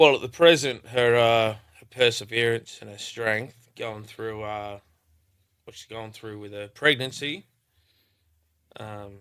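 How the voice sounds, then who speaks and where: A man with an Australian accent, a bright, sharp tone, fairly even intonation and a fairly slow pace, on a very clean recording with a silent background. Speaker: rapper. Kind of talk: casual chat. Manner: casual, halting with fillers.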